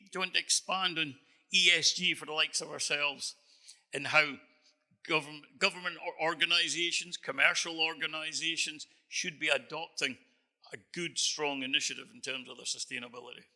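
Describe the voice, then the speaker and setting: This man talks fairly quickly in a Scottish accent, with a fairly high pitch, a bright, sharp tone, fairly even intonation and big swings in loudness. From northern Scotland. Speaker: moderator and marketing consultant. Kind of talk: panel discussion. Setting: stage with audience.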